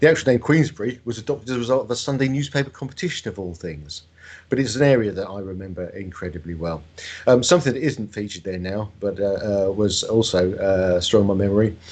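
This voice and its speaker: This man speaks at a very fast pace with a fairly low pitch. His intonation is lively and his loudness swings widely. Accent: southern English. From Buckinghamshire, England (London family). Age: 50s. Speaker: bus company managing director and transport enthusiast. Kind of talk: presentation. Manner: formal.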